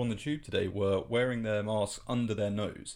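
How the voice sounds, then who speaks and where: Speaking in a British accent, a man keeps to a moderate pace. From UK. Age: 20s. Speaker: science podcast host. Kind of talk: scripted narration.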